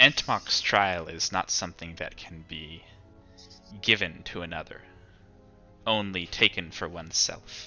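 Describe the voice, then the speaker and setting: In a put-on character voice, a man speaks at a moderate pace with a very deep, low pitch, leaving long, frequent pauses while faint music plays in the background. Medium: actual play. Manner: solemn, measured.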